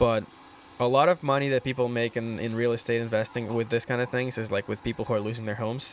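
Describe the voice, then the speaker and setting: Very fast delivery with fairly even intonation over noticeable background noise. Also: man, medium pitch for a man. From Russia. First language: Russian. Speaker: aspiring real estate investor. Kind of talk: casual chat.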